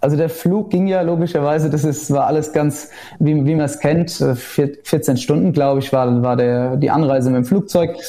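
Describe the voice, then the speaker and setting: Through noticeable background noise, a man with a fairly high pitch holds a very even loudness at a moderate pace, with ordinary pitch variation. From Germany, Rheinhessen. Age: 20s. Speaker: winemaker. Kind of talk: casual interview.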